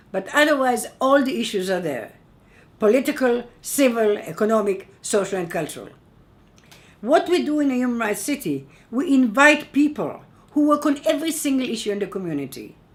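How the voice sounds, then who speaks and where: Her pitch fairly high and swinging very widely, a woman talks at a fairly quick pace amid audible room echo. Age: 80s+. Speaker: human rights activist, keynote speaker. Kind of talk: keynote speech. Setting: conference. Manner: emphatic.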